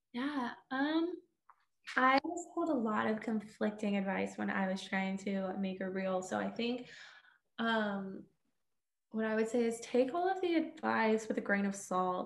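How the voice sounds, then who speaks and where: A woman with an American accent and a fairly high pitch speaks at a fairly slow pace, using lively intonation and long, frequent pauses. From Texas, Houston. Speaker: TV news reporter. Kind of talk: interview.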